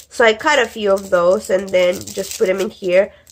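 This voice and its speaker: Over noticeable background noise, a woman with a medium pitch talks at a moderate pace. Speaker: crafting channel host. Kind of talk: craft show-and-tell video. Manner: casual, many filler words.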